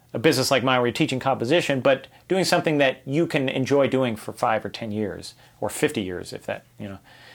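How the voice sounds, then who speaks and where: A man has an unremarkable speaking voice and an American accent, with a medium pitch, ordinary pitch variation and a fairly quick pace. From Los Angeles area, US. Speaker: composer and army veteran. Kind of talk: casual interview.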